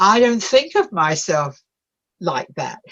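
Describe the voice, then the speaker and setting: A woman talks fairly slowly with an English accent. Her pitch swings very widely. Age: 80s+. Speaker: bereavement and addiction counselor. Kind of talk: interview. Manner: animated.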